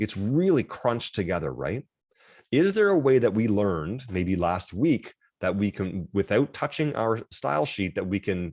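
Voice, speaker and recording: A man's animated voice over a quiet background. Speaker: college instructor. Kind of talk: lecture. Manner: fast.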